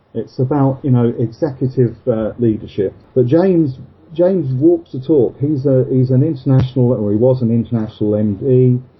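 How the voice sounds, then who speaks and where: A man's somewhat breathy, medium-pitched voice at a moderate pace, with ordinary pitch variation. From England, Luton in Bedfordshire. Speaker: insurance trade association chairman. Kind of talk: casual interview. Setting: Skype call.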